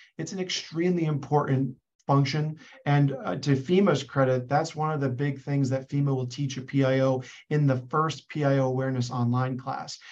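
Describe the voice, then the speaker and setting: Using an ordinary speaking voice, a man with an American accent talks at a moderate pace, his fairly high pitch held in fairly even intonation. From Boston area, US. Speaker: PR firm founder and former reporter. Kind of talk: panel discussion. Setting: video call.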